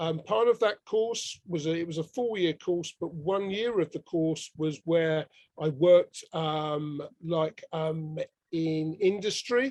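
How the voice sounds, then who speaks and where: The man's voice is high, with ordinary pitch variation and a southern English accent. He speaks very slowly, and the sound is dry and close with no echo. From southern England (Sussex coast). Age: 60s. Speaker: professor. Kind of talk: interview. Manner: halting, many fillers.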